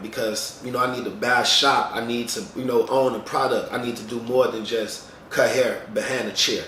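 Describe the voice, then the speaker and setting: Amid noticeable background noise and audible room echo, a man talks fairly quickly at a medium pitch. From Chicago, US Midwest. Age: 30s. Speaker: barber and vlogger. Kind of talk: casual vlog monologue. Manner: fast; rambling, conversational.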